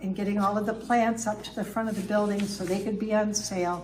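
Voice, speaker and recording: Audible room echo and noticeable background noise fill the clip. Through them, a woman talks. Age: 70s. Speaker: speaker, former pastor and grocery manager. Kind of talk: public talk. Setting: town hall with audience.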